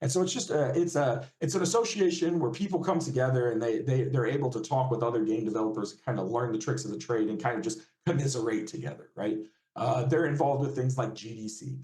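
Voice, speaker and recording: This man talks at a very fast pace, medium in pitch with ordinary pitch variation. His tone is dark and mellow, and somewhat breathy. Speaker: games user researcher. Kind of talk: guest lecture.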